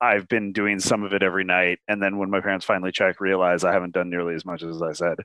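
The man's fairly low voice has a bright, sharp tone and fairly even intonation. The recording is very clean with a silent background and a dry, close sound with no echo. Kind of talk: casual interview chat.

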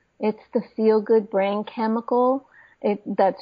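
A woman with an ordinary speaking voice talks slowly-ish at a fairly high pitch, her intonation fairly even. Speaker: medical doctor and naturopath. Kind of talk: interview.

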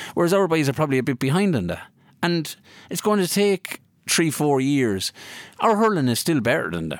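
With a Kilkenny Irish accent, a man speaks in a fairly high pitch with very wide pitch swings, on a very clean recording with a silent background. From Ireland, County Kilkenny. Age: 30s. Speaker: former hurler. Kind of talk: casual interview. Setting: studio.

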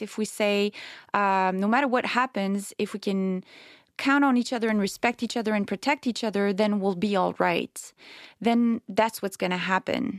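Speaking at a moderate pace with a Quebec accent, a woman of medium pitch keeps a fairly even intonation in a very clean recording with a silent background and a dry, close sound with no echo. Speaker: novelist. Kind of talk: interview. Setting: studio.

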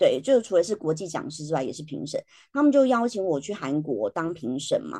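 Fast-ish and fairly low-pitched, a woman speaks in a dark, mellow tone with very wide pitch swings and big swings in loudness. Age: 40s. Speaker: educator and podcaster. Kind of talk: interview. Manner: laughs often.

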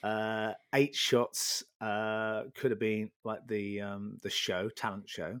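A man with a fairly low voice speaks very slowly in a flat monotone, hardly pausing, and the sound is dry and close with no echo. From Norfolk, England. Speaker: freelance photographer. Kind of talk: casual interview, storytelling. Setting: remote call with microphone. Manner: chatty, humorous.

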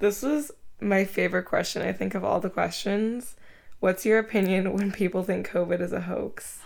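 Vocal fry in a woman's mid-range voice, her intonation fairly even, her pace moderate. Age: 20s. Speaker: guest and co-host, cousin of host. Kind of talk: casual chat.

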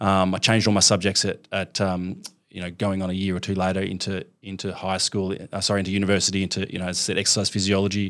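In an Australian accent, a man with a very deep, low voice talks at a very fast pace, monotone and flat, with hardly any pauses. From Melbourne, Australia. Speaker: fitness franchise founder. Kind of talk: interview.

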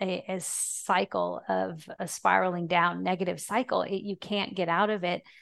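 This woman's voice sits at a medium pitch and carries some vocal fry. She talks at a fairly slow pace with fairly even intonation. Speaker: fitness professional and ministry founder. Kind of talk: casual interview.

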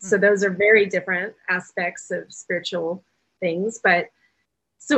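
This woman has a plain, everyday voice at medium pitch. She talks at a moderate pace. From Oklahoma City, US South. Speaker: spiritual author and UFO tour guide. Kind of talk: interview conversation.

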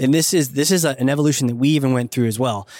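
A man speaks at a very fast pace with a medium pitch and ordinary pitch variation. The recording is very clean, with a silent background. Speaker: marketing consultant and author. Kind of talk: casual interview. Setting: recorded live at a conference.

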